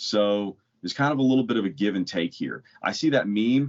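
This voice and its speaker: Fairly low in pitch, a man speaks in a plain, everyday voice. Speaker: podcast co-host. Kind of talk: casual podcast chat.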